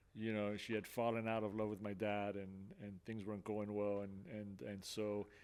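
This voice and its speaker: A man with an American accent speaks at a fairly low pitch, with monotone, flat intonation. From Miami and New Jersey, US (Cuban-born). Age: 60s. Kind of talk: testimony. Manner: halting, many fillers.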